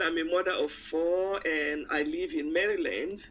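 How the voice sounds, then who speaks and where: At a fairly slow pace, a woman speaks with a medium pitch, lively intonation and a bright, sharp tone. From Cameroon. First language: French. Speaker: insurance and wealth advisor. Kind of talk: live interview.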